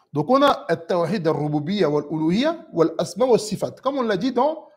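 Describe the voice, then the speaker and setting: A man's high-pitched voice, fairly slow, with very wide pitch swings. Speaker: Islamic religious teacher. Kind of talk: lecture. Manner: deliberately slow.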